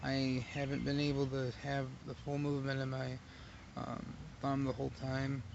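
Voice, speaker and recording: Amid audible room echo, a man speaks at medium pitch and a moderate pace with monotone, flat intonation. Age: 30s. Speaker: vlogger. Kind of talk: casual monologue. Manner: halting.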